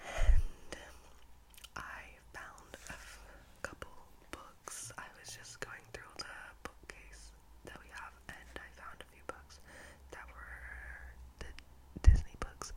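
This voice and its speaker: A woman whispers at a very slow pace, with long, frequent pauses and big swings in loudness. Noticeable background noise can be heard. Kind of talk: casual talk to camera, intro to series. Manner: whispered, soft.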